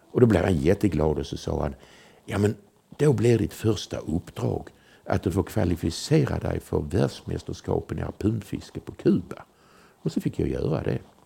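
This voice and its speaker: A man's very deep, low voice carries a dark, mellow tone with vocal fry. His pitch swings very widely. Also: moderate pace. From southern Sweden, Malmö. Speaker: former intelligence agent. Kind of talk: storytelling interview. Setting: at home.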